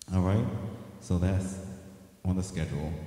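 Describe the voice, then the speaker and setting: A man talks at a fairly quick pace in a very deep, low pitch. Audible room echo surrounds his voice. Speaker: singer hosting his own show. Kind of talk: casual livestream news update chat. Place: home room. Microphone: handheld.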